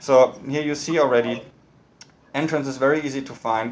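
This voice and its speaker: A man with a German accent talks at a fairly quick pace and with fairly even intonation, with audible room echo. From northern Germany, Hamburg. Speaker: architect and university lecturer. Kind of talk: lecture. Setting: video call. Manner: fast; halting, many repetitions and fillers. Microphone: poor audio quality.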